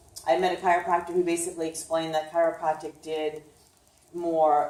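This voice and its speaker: This woman has a New York accent and a fairly low pitch. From Brooklyn, New York. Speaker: chiropractor and nutritionist. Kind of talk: informal health talk. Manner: casual with many fillers.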